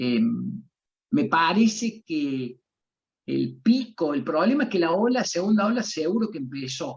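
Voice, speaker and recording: Pitch rises and falls across a very wide range. Delivery is fairly unhurried. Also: man. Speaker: physician and bioethics expert. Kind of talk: interview answers in an online seminar.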